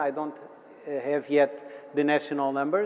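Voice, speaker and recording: A man is speaking. He has a Portuguese accent. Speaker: city official. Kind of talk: conference presentation. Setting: conference hall with audience. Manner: halting, many fillers and repetitions.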